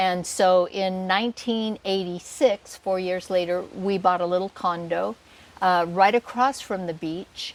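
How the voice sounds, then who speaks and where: Talking at a fairly slow pace, a woman with a Pacific Northwest accent has a medium pitch and fairly even intonation. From Washington state, US. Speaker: retired realtor and expat homeowner. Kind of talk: casual interview. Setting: at a home.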